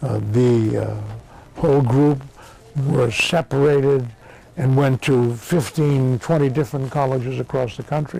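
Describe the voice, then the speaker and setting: A man's medium-pitched voice with an American accent, fairly slow pace and fairly even intonation, over noticeable background noise. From Massachusetts. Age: 70s. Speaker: war veteran. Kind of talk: oral history interview. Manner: halting, many fillers.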